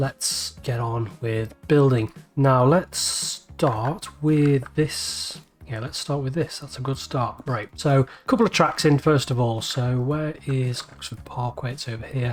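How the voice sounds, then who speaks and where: A man with a Liverpool accent speaks at a fairly slow pace with hardly any pauses and ordinary pitch variation. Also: medium pitch for a man. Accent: Scouse. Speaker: video game let's play creator. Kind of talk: gameplay commentary. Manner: casual, thinking aloud.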